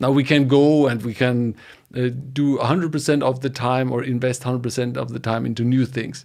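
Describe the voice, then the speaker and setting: This man speaks with a medium pitch at a moderate pace. His intonation stays fairly even. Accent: German. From Germany. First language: German. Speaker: data engineering educator. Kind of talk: podcast interview. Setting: home studio, live stream.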